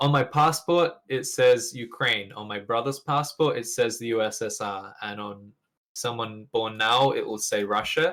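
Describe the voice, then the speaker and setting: With a British accent, a man of medium pitch talks at a fairly slow pace, with ordinary pitch variation and big swings in loudness. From England. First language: Russian. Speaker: gamer. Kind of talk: interview.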